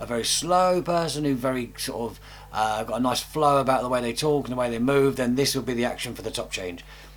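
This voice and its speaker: A man with a British accent speaks at a fairly quick pace. His medium pitch shows ordinary variation. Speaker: magician. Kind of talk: tutorial. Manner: fast; animated.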